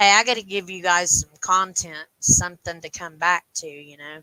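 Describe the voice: Fairly low female voice, bright and sharp yet clear and smooth, at a moderate pace with ordinary pitch variation, in a dry, close sound with no echo.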